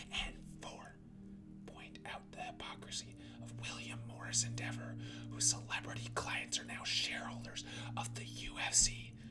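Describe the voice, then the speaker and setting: Whispering in a soothing tone at a moderate pace comes through noticeable background noise. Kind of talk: ASMR reading of political policy text. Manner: whispered; soft-spoken, soothing.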